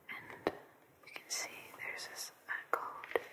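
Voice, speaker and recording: A woman is whispering at a very slow pace. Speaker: ASMR host. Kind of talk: ASMR unboxing. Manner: whispered; soft-spoken.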